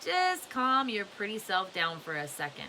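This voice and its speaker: A put-on character voice drawls at a moderate pace with lively intonation. Background noise is clearly audible. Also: woman, medium pitch for a woman. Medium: read story. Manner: slow drawl.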